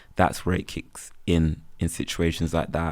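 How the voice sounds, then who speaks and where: A man with a Birmingham accent and a very deep, low pitch speaks at a moderate pace. The recording is very clean, with a silent background. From Birmingham, England. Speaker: freelance photographer and videographer. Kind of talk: casual interview chat. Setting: podcast recorded on campus.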